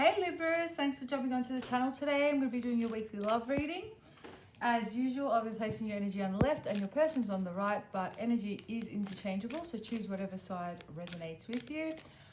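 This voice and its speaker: Over noticeable background noise, a woman talks very fast at a fairly high pitch with lively intonation. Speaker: tarot reader. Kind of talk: tarot reading to camera. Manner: casual, many fillers.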